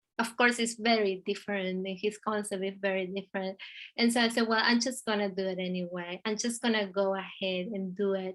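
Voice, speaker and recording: A woman with an Argentinian accent talks at a fairly quick pace in a medium pitch, her intonation monotone and flat. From Argentina. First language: Spanish. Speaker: visual artist. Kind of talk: interview conversation. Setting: video call. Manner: halting.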